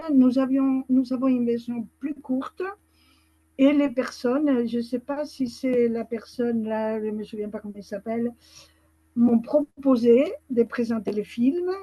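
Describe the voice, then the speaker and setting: Very slowly, a woman speaks in a high pitch with a dark, mellow tone, fairly even intonation and big swings in loudness. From Spain. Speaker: association founder. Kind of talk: webinar participant remarks. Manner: hesitant.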